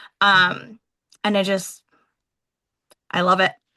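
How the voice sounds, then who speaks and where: In a New England accent, a woman talks at a very slow pace with monotone, flat intonation. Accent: New England American. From Vermont. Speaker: military member and business leader. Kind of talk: interview. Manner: casual, conversational.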